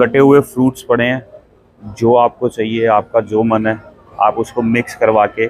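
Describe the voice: A man talks at a moderate pace. His voice sits at a medium pitch.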